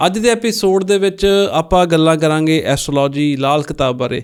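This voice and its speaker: A man with a Punjabi accent and ordinary pitch variation, in a very clean recording with a silent background. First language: Punjabi (speaking Hindi). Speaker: podcast host. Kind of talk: interview.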